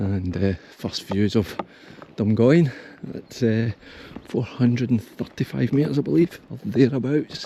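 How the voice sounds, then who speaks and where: With a Scottish accent, a man talks at a medium pitch and a fairly slow pace, his intonation lively. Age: 60s. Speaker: hiking vlogger. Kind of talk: casual vlog. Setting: outdoors. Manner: halting.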